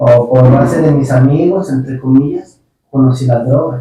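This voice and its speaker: A man talks fairly slowly with a dark, mellow tone at medium pitch. His voice is somewhat breathy, with fairly even intonation. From Mexico, Guadalajara, Jalisco (Tlaquepaque). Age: 30s. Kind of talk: testimony.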